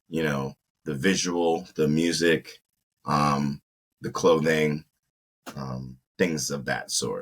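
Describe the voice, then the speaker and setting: A man with an American accent and a very deep, low pitch speaks very slowly in a monotone, flat delivery with long, frequent pauses, the sound dry and close with no echo. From South Carolina, then Maryland from early teens. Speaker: video producer and entrepreneur. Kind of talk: casual interview.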